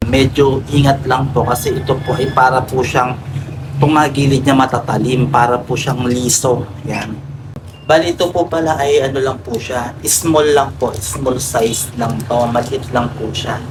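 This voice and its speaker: A man talks at a medium pitch and a fairly slow pace. Room echo is audible, and background noise is noticeable. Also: fairly even intonation. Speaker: vlogger. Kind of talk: casual vlog tutorial. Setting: outdoors by the street. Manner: loud.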